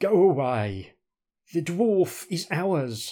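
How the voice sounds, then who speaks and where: A gruff, hissing put-on character voice on a very clean recording with a silent background. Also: man, high pitch for a man. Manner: hissing, gruff.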